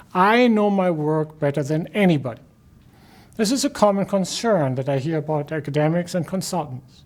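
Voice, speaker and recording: A man speaks with a German accent. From Germany. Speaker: professor. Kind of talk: lecture. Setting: recorded video lecture.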